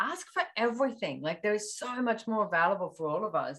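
Lively intonation and a moderate pace mark this woman's speech in an Australian accent. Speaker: personal development facilitator. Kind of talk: casual chat.

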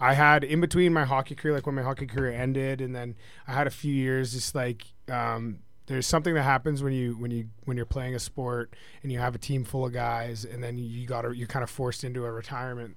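A man talks at a fairly quick pace. His pitch is medium and his intonation flat and monotone. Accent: western Canadian. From British Columbia, Canada. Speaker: hockey defenseman and combat fighter. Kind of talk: casual interview.

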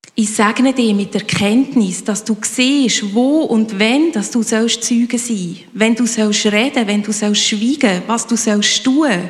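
Noticeable background noise behind a woman's very slow, fairly high-pitched speech with ordinary pitch variation. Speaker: congregation member praying. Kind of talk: spoken prayer.

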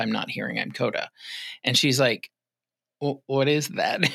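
The recording is very clean, with a silent background. A man talks at a medium pitch and a moderate pace in a bright, sharp tone. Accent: American. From Massachusetts. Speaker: interpreting company executive. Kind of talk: interview. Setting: studio.

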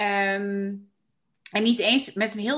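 Against a quiet background, a woman talks at a medium pitch in an unremarkable speaking voice with fairly even intonation. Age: 30s. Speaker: coach and podcast host. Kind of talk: casual interview chat.

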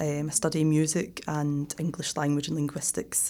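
Someone speaks at a moderate pace in a Glaswegian accent, and the recording is very clean with a silent background. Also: woman. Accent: Glaswegian Scottish. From Scotland, Glasgow. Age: 30s. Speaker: exchange student. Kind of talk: interview.

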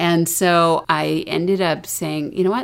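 In an American accent, a woman with a fairly low pitch talks at a fairly slow pace in an ordinary speaking voice with ordinary pitch variation. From US South. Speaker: podcast co-host and parent. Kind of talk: casual conversational podcast discussion.

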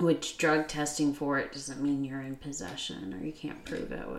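A woman's very deep, low voice at a fairly slow pace, with ordinary pitch variation and noticeable background noise. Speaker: podcast co-host. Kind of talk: casual chat. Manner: bantering, teasing.

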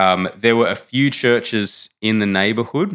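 Speaking at a moderate pace with an Australian accent, a man shows ordinary pitch variation on a very clean recording with a silent background. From Australia, Canberra. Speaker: theology student. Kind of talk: interview.

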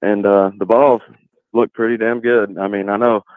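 A man in an East Tennessee accent speaks at a fairly quick pace. His pitch is medium and his intonation fairly even. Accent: East Tennessee Southern. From Newport, Tennessee. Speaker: Tennessee fan caller. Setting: phone call.

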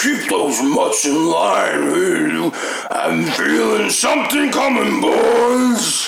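Clear background noise under a man's put-on character voice at a very slow pace. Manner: gruff, commanding.

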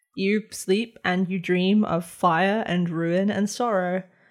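The speaker shows ordinary pitch variation over music in the background. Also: woman. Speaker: game master of a tabletop role-play podcast. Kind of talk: dramatic second-person dream narration. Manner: slow, hushed and atmospheric in the dream sequence; voices several characters, including a child.

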